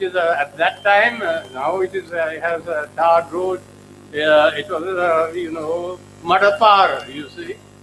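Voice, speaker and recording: Amid noticeable background noise, a man with a high pitch speaks at a fairly slow pace, his intonation fairly even but his loudness swinging widely. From Sri Lanka. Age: 80s+. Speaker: professor. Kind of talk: lecture. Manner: halting.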